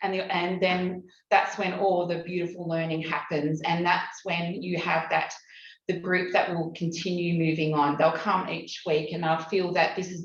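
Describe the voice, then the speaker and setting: Amid noticeable background noise and audible room echo, a woman speaks fairly low in a flat monotone at a moderate pace. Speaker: community program facilitator. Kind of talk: conference presentation. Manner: halting, many fillers.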